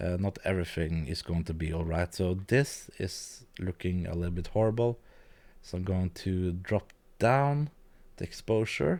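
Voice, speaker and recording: At a moderate pace, a man talks in a very deep, low pitch with ordinary pitch variation. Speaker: video editing youtuber. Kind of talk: live-stream tutorial. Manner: hesitant, many fillers; quiet at times. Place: home room. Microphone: studio mic.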